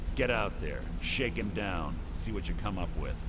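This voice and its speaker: A man's put-on character voice at a moderate pace over loud background noise. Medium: machinima. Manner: commanding, cold.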